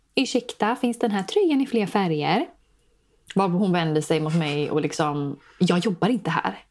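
Her voice sits at a medium pitch with ordinary pitch variation. The woman's recording is very clean, with a silent background. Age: 20s. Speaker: podcast host. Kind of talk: casual chat.

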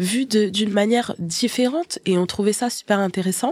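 At a moderate pace and a medium pitch, a woman speaks in a somewhat breathy voice, the sound dry and close with no echo. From Haitian family. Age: 30s. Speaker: podcast co-host. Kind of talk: casual chat. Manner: hesitant, many fillers.

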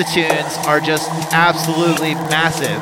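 Over noticeable background noise, a man with a fairly high pitch speaks in an enthusiastic tone. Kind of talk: radio dj patter over playing tracks, live-stream show intro. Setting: live stream. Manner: excitable, enthusiastic, track-by-track shout-outs.

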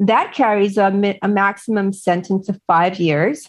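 In a plain, everyday voice, a woman of medium pitch talks fairly slowly with ordinary pitch variation against a quiet background. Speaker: author and Maxwell trial commentator. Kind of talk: interview commentary.

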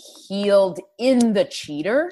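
A woman's voice with lively intonation. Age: 20s. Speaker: comedian. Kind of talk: casual chat.

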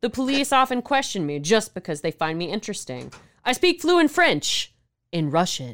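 A woman with an American accent talks at a fairly high pitch in an animated tone, with very wide pitch swings and vocal fry. The recording is very clean, with a silent background. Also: moderate pace. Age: 30s. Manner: animated, jokey.

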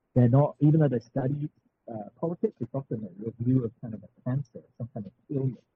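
At a fairly quick pace, a man with an English accent talks at medium pitch with ordinary pitch variation. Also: big swings in loudness. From England. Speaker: political science instructor and author. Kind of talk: interview. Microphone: poor audio quality.

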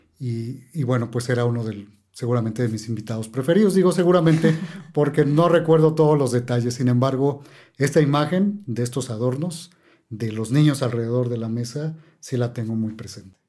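With a dark, mellow tone, a man speaks at a medium pitch and a fairly quick pace. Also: ordinary pitch variation. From Mexico City. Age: 50s. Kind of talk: casual chat.

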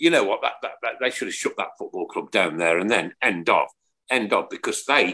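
A man with a Birmingham accent. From England. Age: 60s. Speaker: podcast host. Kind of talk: casual chat. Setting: live stream. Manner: animated.

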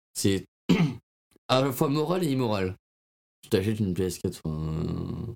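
A man with a fairly low pitch speaks very slowly, his pitch swinging very widely, with long, frequent pauses in a dry, close sound that has no echo. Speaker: podcast co-host. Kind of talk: casual chat.

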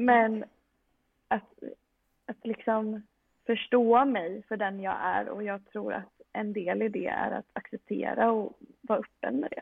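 Speaking at a very slow pace, a woman uses a fairly high pitch and fairly even intonation. Long, frequent pauses break up her speech. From Sweden, Västerås. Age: 20s. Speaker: medical student and powerlifter. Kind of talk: casual interview.

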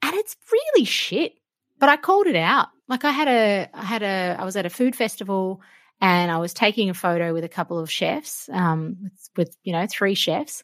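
Heard on a very clean recording with a silent background and a dry, close sound with no echo, a woman with an Australian accent speaks at a medium pitch with lively intonation. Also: moderate pace. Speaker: cook and food broadcaster. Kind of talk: interview conversation.

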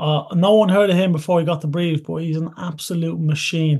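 A man speaks with an Irish accent in a fairly high, dark and mellow voice. His intonation is monotone and flat, and his pace is moderate. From France, Toulouse (Irish-born, Irish family). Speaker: professional rugby player. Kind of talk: casual chat. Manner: hesitant, many fillers.

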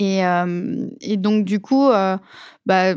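A woman's voice at medium pitch with fairly even intonation. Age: 20s. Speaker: UX designer. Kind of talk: interview. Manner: hesitant with fillers.

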